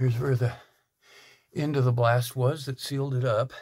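Against a quiet background, a man speaks at a moderate pace. His voice is somewhat breathy, with fairly even intonation. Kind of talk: casual narration while exploring. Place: tunnel cave. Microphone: phone near.

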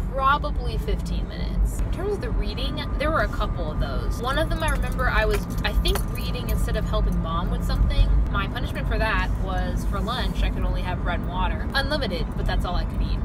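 Over clear music in the background, a woman speaks at a fairly quick pace in a dry sound with no echo. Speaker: vlogger. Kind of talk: casual vlog chat. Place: car. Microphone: phone near.

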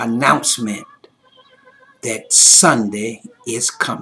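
Speaking very slowly, a man draws out his words. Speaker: pastor. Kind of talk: fervent closing prayer and benediction. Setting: virtual online service. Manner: rhythmic, repetitive preacher cadence; rising fervor building to a climactic benediction. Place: home room. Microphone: webcam.

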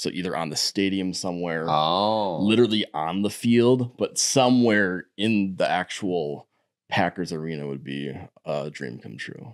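In a very clean recording with a silent background, a man with a Wisconsin accent and a very deep, low pitch speaks fairly slowly, his intonation lively and his loudness swinging widely. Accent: Upper Midwest (Wisconsin). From Wisconsin, Door County. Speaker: artist and muralist. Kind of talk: interview.

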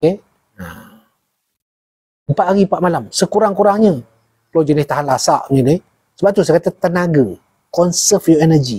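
Calm in tone yet dark and mellow, a man speaks at a high pitch and moderate pace with long, frequent pauses over a quiet background. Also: ordinary pitch variation. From Malaysia. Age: 50s. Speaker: former army jungle survival instructor; jungle lore host. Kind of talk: casual chat. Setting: livestream. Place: home room. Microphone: lapel.

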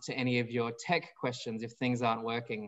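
The speaker is a man with an Australian accent. He talks fairly quickly. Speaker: nonprofit director and webinar moderator. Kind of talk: moderated panel discussion. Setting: video call. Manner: formal.

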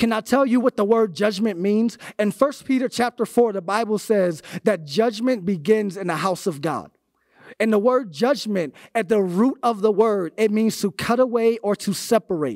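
Over a quiet background, a man with an American accent speaks at a moderate pace. His voice is high-pitched with ordinary pitch variation. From Florida. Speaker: youth pastor. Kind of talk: sermon. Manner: animated. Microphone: handheld.

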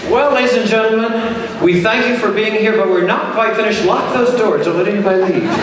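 In a room with strong echo and light background noise, a man with a high pitch talks at a fairly quick pace with fairly even intonation. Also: hardly any pauses. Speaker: charity auctioneer and pianist. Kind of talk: charity fundraising auction patter. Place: hall.

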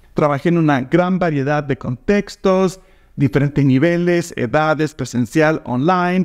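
Against a quiet background, a man speaks fairly slowly at a fairly high pitch with ordinary pitch variation. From Argentina. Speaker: language teacher and platform co-founder; language teacher. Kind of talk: promotional invitation video. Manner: direct. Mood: warm, smiling, upbeat. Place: home room. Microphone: lapel.

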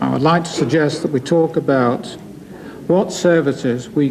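There is little pitch movement as the man speaks. Faint background noise sits behind him. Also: slightly mellow tone.

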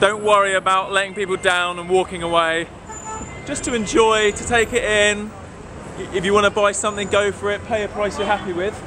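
Over noticeable background noise, a man projects a raised voice at a fairly quick pace with fairly even intonation. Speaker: travel vlogger. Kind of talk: casual vlog chat. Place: market. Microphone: phone near.

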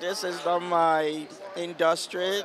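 A man's high-pitched, monotone voice with a slight Nigerian accent, very slow and flat, dry with no echo, over noticeable background noise. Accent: faint Nigerian. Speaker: forensic doctor. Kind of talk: interview answer. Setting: outdoors. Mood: earnest, reflective. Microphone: handheld.

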